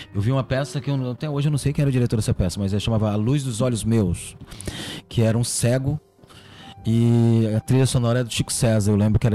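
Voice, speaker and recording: Music plays in the background as a man talks very fast in a medium pitch. His intonation is fairly even. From Ceará, Brazil (Catunda). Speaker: magician and comedian. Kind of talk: casual chat.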